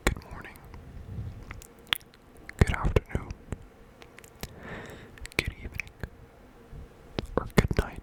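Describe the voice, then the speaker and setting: Whispering in a relaxed tone, the speaker moves at a fairly slow pace with long, frequent pauses over noticeable background noise. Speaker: ASMR creator. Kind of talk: ASMR trigger words. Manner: whispered, up close; soft, relaxed, rambling.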